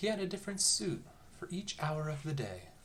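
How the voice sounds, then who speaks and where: With noticeable background noise behind it, the speech moves at a moderate pace. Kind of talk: bedtime story reading, read aloud. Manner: lilting, variable intonation.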